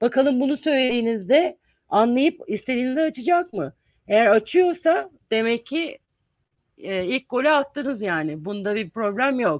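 Moderate pace and very wide pitch swings, with a dry, close sound and no echo. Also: woman, high pitch for a woman, quiet background. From Izmir, Turkey. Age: 50s. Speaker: English teacher and university lecturer. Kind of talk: interview, informative talk. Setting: video call.

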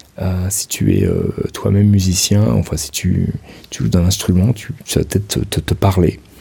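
A man's fairly low-pitched voice at a moderate pace, with long, frequent pauses and noticeable background noise. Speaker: podcaster. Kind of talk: personal monologue. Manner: halting, many hesitations.

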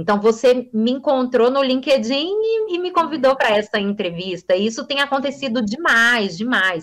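Hardly pausing, a woman with a high pitch speaks at a moderate pace with lively intonation. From Brasília, Brazil. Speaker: journalist and communication teacher. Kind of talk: interview. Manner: fluent.

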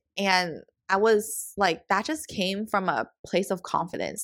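On a very clean recording with a silent background, a woman speaks at a medium pitch in a bright, sharp tone. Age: 20s. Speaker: podcast co-host and vlogger. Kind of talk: solo podcast monologue.

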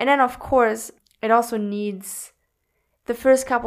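Heard on a very clean recording with a silent background, a normal speaking voice keeps fairly even intonation. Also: woman. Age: 20s. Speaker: podcast co-host and mindset coach. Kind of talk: casual chat.

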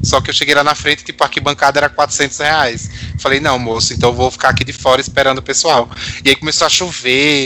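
A man's fairly high voice rushes along at a very fast pace, his intonation fairly even, with noticeable background noise behind. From Natal, northeastern Brazil. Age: 30s. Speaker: pop music fan guest. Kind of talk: casual chat.

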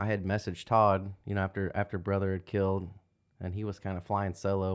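Against a quiet background, a man with a Midwestern American accent speaks fairly quickly in a fairly low pitch. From Indiana. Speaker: hunter and union worker. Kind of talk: casual chat.

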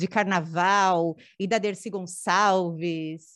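A woman with a plain, everyday voice speaks at a medium pitch with fairly even intonation against a quiet background. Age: 30s. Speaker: performing artist, dancer and drag king. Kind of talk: casual chat. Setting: studio.

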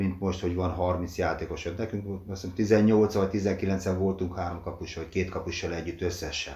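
A man speaks with a very deep, low pitch and a dark, mellow tone that is somewhat breathy. His pace is moderate and his intonation fairly even. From Hungary, Dorog (Komárom-Esztergom county). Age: 60s. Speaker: retired footballer and museum guide. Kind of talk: interview, reminiscing about career. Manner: halting, many fillers.

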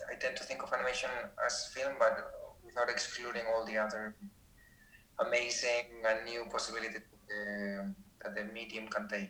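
Against noticeable background noise, a man speaks at a moderate pace, leaving long, frequent pauses. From Spain. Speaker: animation professor. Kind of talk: casual interview.

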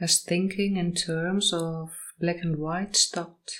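A very slow, gentle, soothing voice in a very clean recording with a silent background. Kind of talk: guided meditation. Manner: slow, soothing and hypnotic, with long pauses; soft, gentle, repetitive, drifting into sleep.

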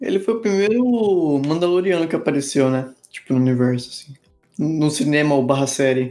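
At a moderate pace, a man talks with a fairly high pitch and lively intonation. He has a normal speaking voice. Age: 20s. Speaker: podcast co-host. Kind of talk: casual chat.

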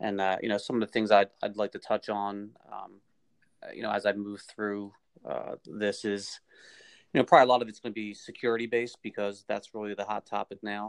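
Against a quiet background, a man talks at a fairly quick pace in a fairly low pitch. His intonation is monotone and flat, and his loudness swings widely. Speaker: podcast guest. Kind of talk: casual chat. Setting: phone call.

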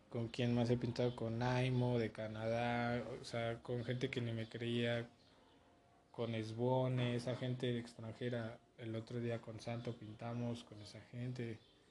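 Speaking in a Mexican accent, a man talks at medium pitch and a fairly slow pace. His intonation is monotone and flat. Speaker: graffiti artist and podcast host. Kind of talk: casual chat.

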